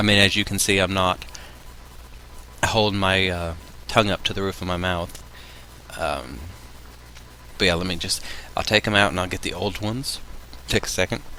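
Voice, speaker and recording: Over noticeable background noise, a man with a very deep, low pitch talks at a moderate pace with ordinary pitch variation and long, frequent pauses. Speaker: video blogger. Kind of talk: casual vlog. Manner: hesitant, many fillers. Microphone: levels maxing out, maybe too quiet.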